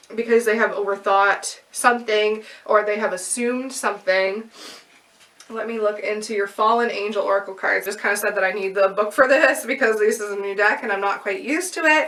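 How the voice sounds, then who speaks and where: A woman's fairly high voice at a fairly quick pace, with ordinary pitch variation and noticeable background noise. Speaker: tarot reader. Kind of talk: tarot reading monologue. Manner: fast; filler-heavy, halting at times.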